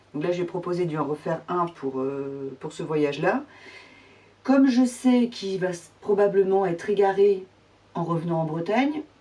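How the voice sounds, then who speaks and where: Lively intonation at a moderate pace, amid noticeable background noise. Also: woman, fairly low pitch for a woman. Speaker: sewing vlogger. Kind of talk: casual tutorial vlog. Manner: hesitant, many fillers.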